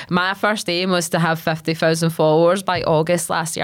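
A woman with a west of Scotland accent talks at a fairly quick pace in an animated, enthusiastic tone. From Scotland, Largs (Ayrshire). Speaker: geologist and social media educator. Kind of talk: casual interview chat. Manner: casual, filler-heavy.

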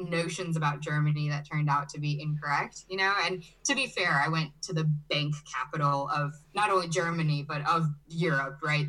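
Female speech, very deep and low in pitch, with ordinary pitch variation. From US Midwest, Chicago (born in Brazil). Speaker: agency owner, digital nomad. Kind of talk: interview.

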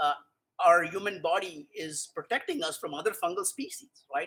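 A man speaks in a raised, projected voice at a high pitch, with lively intonation. His tone is bright and sharp. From India. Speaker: mycologist. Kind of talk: casual chat. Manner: halting, many repeated words.

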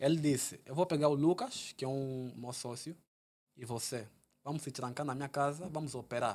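An unremarkable speaking voice at a moderate pace, with fairly even intonation, big swings in loudness and a very clean, silent background. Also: man, fairly high pitch for a man. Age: 20s. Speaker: entrepreneur and stock investor. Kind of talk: casual interview chat.

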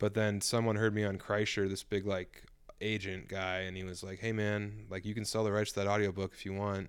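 A man speaks at a fairly quick pace and a fairly low pitch, his intonation monotone and flat. The recording is very clean with a silent background. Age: 30s. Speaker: comedian and novelist. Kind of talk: casual chat.

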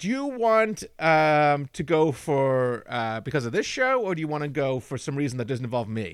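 A man with an American accent and a fairly high pitch, lively intonation, a moderate pace and hardly any pauses, in a very clean recording with a silent background. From England. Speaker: podcast host. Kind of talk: casual chat.

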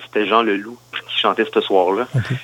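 This voice moves at a moderate pace with fairly even intonation, in a Quebec accent. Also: man. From Quebec, Granby area. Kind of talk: interview. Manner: halting.

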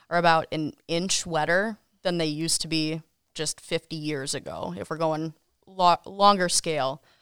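A woman speaks in an American accent, fairly low in pitch and monotone and flat at a moderate pace. The sound is dry and close with no echo, on a very clean recording with a silent background. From Wisconsin, Kenosha. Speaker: TV meteorologist. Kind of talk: casual interview.

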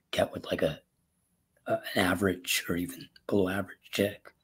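A man's somewhat breathy voice, fairly low-pitched, at a moderate pace with fairly even intonation. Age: 20s. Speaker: caller seeking dating advice. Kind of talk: casual conversation. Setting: live call. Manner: halting.

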